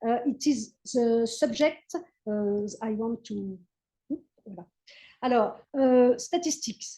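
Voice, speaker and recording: In a French accent, a woman speaks at a very slow pace in a fairly high, dark, mellow voice, with long, frequent pauses and big swings in loudness. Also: ordinary pitch variation. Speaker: history professor. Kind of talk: lecture. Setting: video call. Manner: halting.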